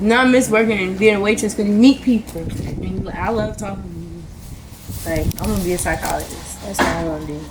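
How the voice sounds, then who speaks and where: A woman with an American accent talks at a fairly quick pace with hardly any pauses and big swings in loudness, over noticeable background noise and audible room echo. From US Mid-Atlantic (Harrisburg PA, Baltimore from teens). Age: 20s. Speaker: person in addiction, interviewee. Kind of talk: interview / testimony. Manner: casual, rambling with fillers.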